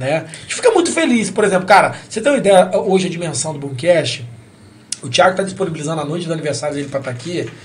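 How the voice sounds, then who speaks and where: Amid noticeable background noise and audible room echo, a man speaks at a very fast pace in a high pitch with lively intonation and big swings in loudness. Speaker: podcast host. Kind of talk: casual chat. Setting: studio.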